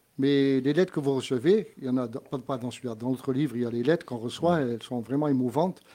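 This man has a dark, mellow tone and a medium pitch. He talks very fast with ordinary pitch variation and hardly any pauses. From Corsica. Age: 70s. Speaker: musician. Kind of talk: casual chat.

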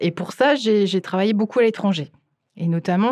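A woman speaks with a medium pitch over a quiet background. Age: 40s. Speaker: cinema director and programmer. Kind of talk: interview. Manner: halting.

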